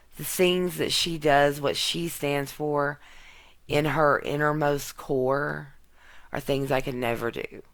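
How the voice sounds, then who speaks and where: With a Mississippi accent, a woman talks at a very slow pace in a very deep, low voice, her intonation fairly even. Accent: Southern US (Mississippi). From US South, Mississippi. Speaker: YouTube tarot card reader. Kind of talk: tarot reading vlog rant. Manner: blunt.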